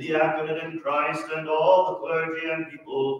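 Through strong room echo, a man talks with a high pitch and fairly even intonation. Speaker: priest. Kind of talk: intoned liturgical litany. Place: church. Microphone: camera far.

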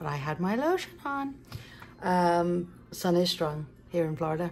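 With lively intonation, a woman speaks at a fairly slow pace in a fairly low voice that has a slightly mellow tone.

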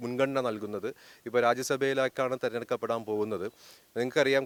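Dry and close with no echo, the recording captures a man at medium pitch. He uses an ordinary speaking voice with fairly even intonation. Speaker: politician and lawyer. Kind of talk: press interview.

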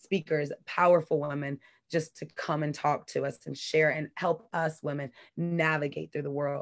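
A woman with an American accent speaks at a fairly quick pace. Her pitch is very deep and low, and her intonation is flat and monotone. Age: 30s. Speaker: community activist. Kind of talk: interview.

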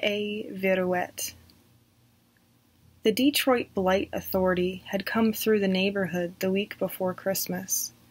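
With an American accent, a woman at medium pitch speaks at a fairly slow pace with fairly even intonation. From southern United States. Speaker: horror story narrator. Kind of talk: read horror story. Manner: dramatic. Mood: creepy storytelling tone. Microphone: webcam.

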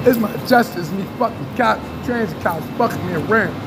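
Over noticeable background noise, a man talks fairly quickly, his pitch varying in an ordinary way. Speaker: street vlogger. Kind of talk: casual street conversation. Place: station. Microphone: phone near.

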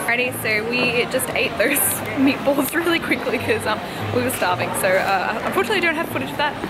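A woman talks at a very fast pace. Music plays in the background. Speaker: travel vlogger. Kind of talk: casual vlog chat. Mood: cheerful, amused. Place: street. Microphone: phone near.

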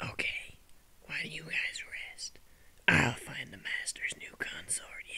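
A man uses a put-on character voice, raspy and extremely high in pitch, at a fairly slow pace. Light background noise can be heard. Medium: puppet.

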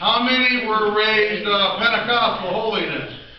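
A man at a very slow pace, with audible room echo and light background noise. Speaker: preacher. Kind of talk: sermon. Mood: relaxed, joking. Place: church. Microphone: camera far.

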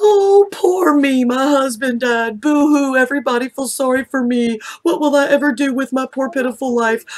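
In a put-on character voice, a female-sounding speaker whines in a high pitch with a whiny tone and hardly any pauses. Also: moderate pace. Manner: mocking, whiny, exaggerated self-pity.

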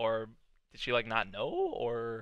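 A man is heard against a quiet background, the sound dry with no echo. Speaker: anime reactor. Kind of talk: reaction commentary. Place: home room. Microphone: headset.

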